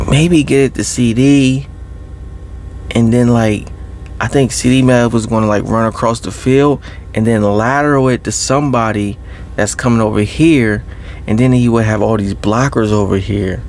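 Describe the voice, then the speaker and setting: Soft-spoken, a man talks at a medium pitch and a moderate pace. Noticeable background noise runs underneath. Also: ordinary pitch variation. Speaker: ASMR creator. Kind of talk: casual talk to camera.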